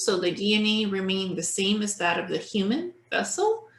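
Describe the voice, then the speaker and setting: A somewhat breathy woman at a moderate pace. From Ukraine. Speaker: online show host. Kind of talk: interview.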